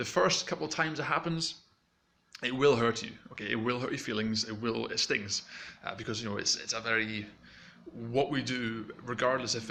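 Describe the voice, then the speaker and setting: Noticeable background noise sits behind a man at a medium pitch. He talks at a fairly quick pace with ordinary pitch variation. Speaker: YouTube coach. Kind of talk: tutorial. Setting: home recording. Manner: mumbling when excited; casual, fast.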